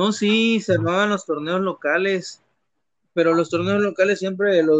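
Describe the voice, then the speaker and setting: A man at a moderate pace. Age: 30s. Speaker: gamer. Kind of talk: casual interview. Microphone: choppy connection.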